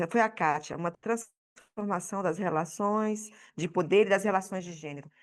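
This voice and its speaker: The speaker is a woman with a Brazilian accent. Her pitch varies in an ordinary way. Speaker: audience member at panel debate. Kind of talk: public debate contribution. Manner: halting, many repetitions.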